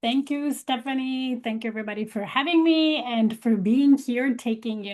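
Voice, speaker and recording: In a Polish accent, a woman speaks at a moderate pace in a high pitch with ordinary pitch variation. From Poland. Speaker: leadership coach. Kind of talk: webinar presentation.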